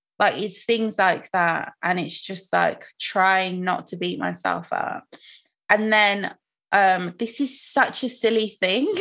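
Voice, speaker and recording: Speaking very slowly with a British accent, a woman uses a medium pitch, ordinary pitch variation and a bright, sharp tone. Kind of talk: casual chat. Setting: video call.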